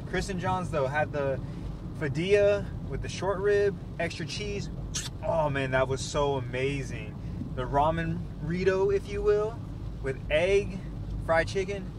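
Noticeable background noise sits behind a man who speaks at a fairly slow pace with long, frequent pauses. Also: dry sound with no echo. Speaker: food vlogger. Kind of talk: casual vlog chat. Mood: upbeat, satisfied. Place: car.

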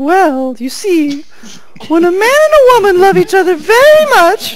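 In a put-on character voice, a female-sounding speaker talks at extremely high pitch with very wide pitch swings at a moderate pace over clear background noise. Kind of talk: theatrical fantasy reading. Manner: earnest, wistful, archaic.

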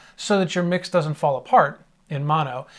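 Delivered at a moderate pace with ordinary pitch variation. The background is quiet. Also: man. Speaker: audio mixing instructor. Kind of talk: tutorial. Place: home room.

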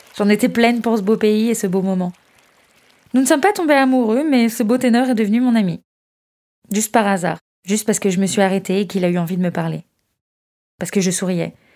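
A woman's dark, mellow tone at a fairly quick pace, broken by long, frequent pauses. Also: fairly high pitch for a woman, ordinary pitch variation. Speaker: volunteer letter reader. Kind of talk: reading a letter aloud.

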